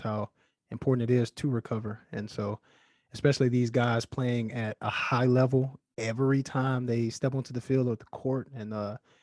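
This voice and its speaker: A man with an American accent, a plain, everyday voice, medium pitch and fairly even intonation, on a very clean recording with a silent background. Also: dry, close sound with no echo. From Alabama, US South. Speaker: podcast host. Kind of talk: casual interview.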